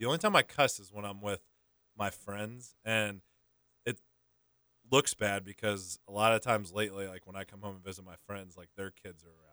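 A fairly low-pitched man with a bright, sharp tone, fairly quick pace, long and frequent pauses, fairly even intonation and big swings in loudness, in a dry, close sound with no echo. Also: very clean recording, silent background. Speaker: sports podcast co-host. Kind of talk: casual chat. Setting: studio. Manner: monotone.

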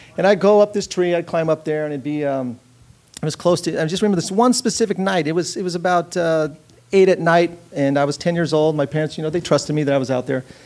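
An American accent marks this man's speech, delivered at a very fast pace. His pitch is high, with ordinary variation. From Southern California. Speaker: film and commercial director. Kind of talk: storytelling on stage. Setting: theater stage with audience.

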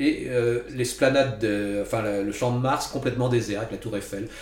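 Medium-pitched male voice at a moderate pace with ordinary pitch variation, audible room echo and noticeable background noise. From Paris region, France. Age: 60s. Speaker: author. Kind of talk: interview.

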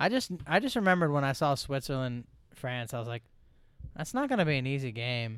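A man speaks at a fairly quick pace in an unremarkable speaking voice with a fairly high pitch. The recording is very clean, the background silent. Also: ordinary pitch variation. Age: 30s. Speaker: podcast co-host. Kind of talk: casual chat.

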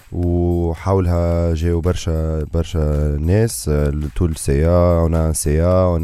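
This man's intonation is fairly even. His tone is dark and mellow. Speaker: diaspora association representative. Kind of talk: radio interview. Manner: halting.

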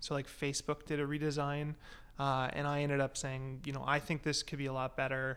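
A man with a Canadian accent speaks fairly quickly at a fairly high pitch with monotone, flat intonation in a very clean recording with a silent background. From Canada (British Columbia). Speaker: tech company CEO. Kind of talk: casual chat.

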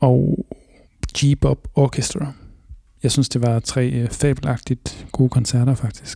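At a very slow pace with long, frequent pauses, a man talks in a medium pitch and a dark, mellow tone that is somewhat breathy. His intonation is fairly even, and the sound is dry and close with no echo. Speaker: radio host. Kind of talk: casual chat.

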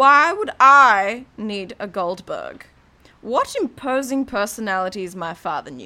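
The text is read aloud plainly.

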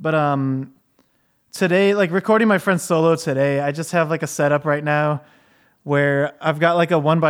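With an American accent, a man talks in an unremarkable speaking voice, fairly high in pitch, at a moderate pace and with fairly even intonation against a quiet background. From Michigan. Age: 30s. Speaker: podcast host and musician. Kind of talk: casual chat.

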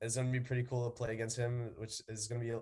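A man with a medium pitch speaks in a somewhat breathy voice with an American accent. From New York City, the Bronx. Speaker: college baseball player. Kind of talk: interview.

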